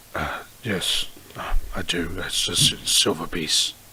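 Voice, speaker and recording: Putting on a raspy character voice, a man speaks at a fairly slow pace and a very deep, low pitch over clear background noise. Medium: actual play. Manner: hesitant, stammering.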